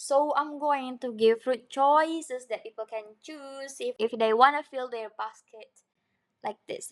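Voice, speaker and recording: A high-pitched woman's voice at a fairly slow pace with ordinary pitch variation. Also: big swings in loudness. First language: not English. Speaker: craft and design tutorial creator. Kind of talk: tutorial. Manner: animated; casual with fillers.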